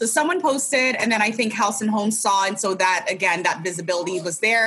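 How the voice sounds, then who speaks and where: A woman with an American accent at a moderate pace, with ordinary pitch variation and noticeable background noise. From California, US. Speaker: interior designer. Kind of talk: casual chat.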